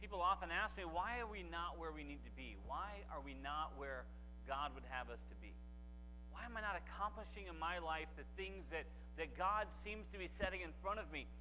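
The speaking pace is moderate. It is a man, with light noise in the background. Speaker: guest preacher. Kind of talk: sermon. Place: church. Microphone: lapel.

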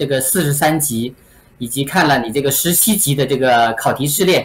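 A man talks at a moderate speed in a fairly high voice whose pitch varies in an ordinary way. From mainland China. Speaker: real estate agent; interviewee. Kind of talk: interview. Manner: halting with many fillers. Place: home room.

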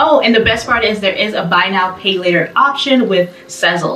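Audible room echo and light background noise surround a woman's voice. Her pitch variation is ordinary. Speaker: fashion vlogger. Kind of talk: casual vlog chat. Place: home room. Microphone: camera far.

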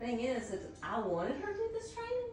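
A woman speaks at a fairly high pitch with very wide pitch swings. Room echo is audible.

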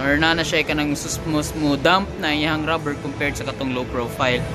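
Clear music plays in the background. The speech moves at a moderate pace. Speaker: car reviewer. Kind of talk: walkaround product overview. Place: shop. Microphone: phone near.

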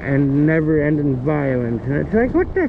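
Light background noise sits behind a man with a Canadian accent. He speaks at a moderate pace in a fairly high pitch. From Canada. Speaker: vlogger; e-bike rider vlogger. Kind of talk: casual rant. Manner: halting. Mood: agitated political rant. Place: bicycle. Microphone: phone near.

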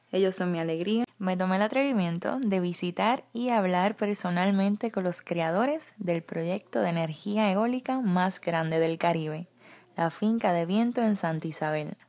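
A woman with a plain, everyday voice speaks at a fairly slow pace and with ordinary pitch variation. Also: medium pitch for a woman. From Puerto Rico. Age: 20s. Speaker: beauty pageant contestant. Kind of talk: scripted presentation.

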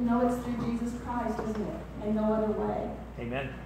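A woman's flat, monotone voice amid strong room echo and noticeable background noise. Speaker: pastor. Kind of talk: sermon. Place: church. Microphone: camera far.

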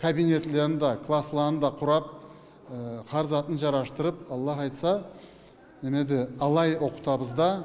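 A man at a moderate pace with monotone, flat intonation, very even loudness and long, frequent pauses, over light background noise. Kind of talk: interview answer. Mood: proud, calm. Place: hall. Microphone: handheld.

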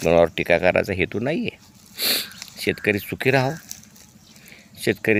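Noticeable background noise accompanies this man's fairly low-pitched speech. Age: 70s. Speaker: dairy farmer. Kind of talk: tutorial.

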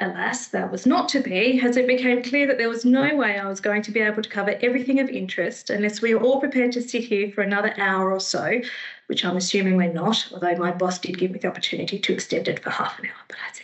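With an Australian accent, a woman races along at a very fast pace with hardly any pauses, her fairly high pitch showing ordinary variation. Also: quiet background. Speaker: librarian giving a history talk; presenter. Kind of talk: public talk. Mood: warm, lightly humorous. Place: home room. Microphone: headset.

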